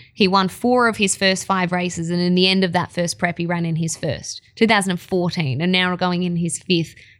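With an Australian accent, a woman talks at a fairly quick pace in a fairly low pitch, her intonation fairly even and her speech hardly broken by pauses. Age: 20s. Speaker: racing presenter and former track rider. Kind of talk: casual chat. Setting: racecourse bar.

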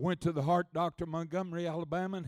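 On a very clean recording with a silent background, a man with an American accent speaks at a moderate pace in an animated, high-pitched voice. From Oklahoma. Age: 70s. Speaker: travelling preacher. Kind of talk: sermon. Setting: church with congregation.

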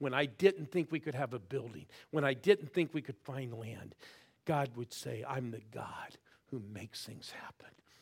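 A man with an American accent talks at a moderate pace and medium pitch, somewhat breathy. His pitch varies in an ordinary way while his loudness swings widely. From US Midwest, Ohio. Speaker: pastor. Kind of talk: sermon. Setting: church with live audience. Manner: animated.

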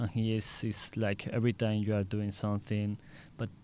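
The man speaks with a fairly low pitch. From Seville, Spain. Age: 20s. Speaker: architecture student on exchange. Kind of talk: casual interview; summary in English.

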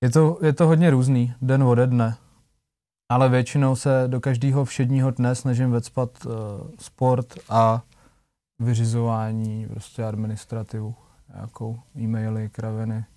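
In a very clean recording with a silent background, a man speaks in a dark, mellow tone at a medium pitch. His intonation is fairly even and his pace fairly slow. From Czech Republic, small town. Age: 20s. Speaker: singer. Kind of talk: casual chat.

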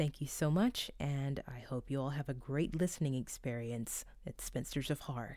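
A woman speaks at a very deep, low pitch in a dark, mellow tone with hardly any pauses. The recording is very clean, with a silent background. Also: ordinary pitch variation, moderate pace. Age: 30s. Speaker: guest horror writer. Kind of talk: scripted reading.

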